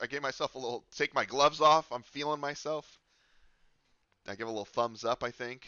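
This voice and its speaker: Very fast pace with fairly even intonation. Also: man. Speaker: sim racing podcast host. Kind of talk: casual commentary over race replay.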